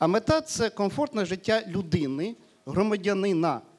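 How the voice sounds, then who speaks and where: A man talks against a quiet background. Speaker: panelist on local self-government. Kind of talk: panel discussion. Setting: stage with audience. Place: hall. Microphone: handheld.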